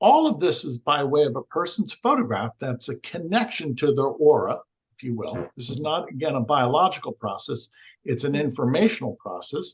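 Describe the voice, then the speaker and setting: This man's voice sits fairly high in pitch, a little breathy, with big jumps in loudness, lively intonation, and a dry, close sound that has no echo. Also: moderate pace. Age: 60s. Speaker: energy healing researcher. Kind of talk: podcast interview.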